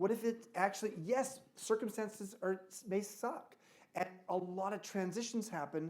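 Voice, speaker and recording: A man with an American accent speaks at a moderate pace. His pitch is high, with ordinary variation. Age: 60s. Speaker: author and speaker. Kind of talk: fireside chat before a live audience. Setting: stage with audience.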